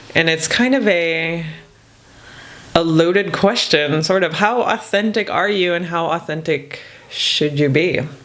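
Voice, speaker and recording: Noticeable background noise is present. The talking goes along fairly slowly. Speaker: podcast co-host, therapist. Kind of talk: casual chat.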